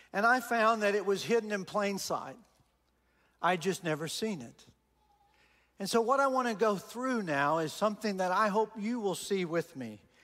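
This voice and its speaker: A man with a Texan accent speaks at a high pitch in a bright, sharp tone, with ordinary pitch variation. He leaves long, frequent pauses on a very clean recording with a silent background. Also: moderate pace. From Texas. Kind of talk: sermon. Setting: church with congregation.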